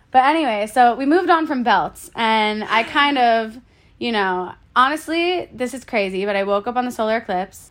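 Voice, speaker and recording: A plain, everyday voice with an American accent and lively intonation. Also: woman, fairly high pitch for a woman, moderate pace. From Florida, US. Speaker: self-care through movement advocate. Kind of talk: casual chat.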